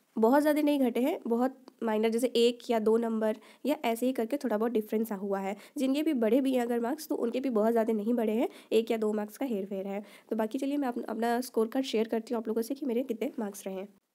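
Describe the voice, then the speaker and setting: Heard in a very clean recording with a silent background, a woman speaks at a fairly quick pace and a fairly high pitch, with fairly even intonation and a dark, mellow tone. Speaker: YouTuber, exam aspirant. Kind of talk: casual vlog. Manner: conversational.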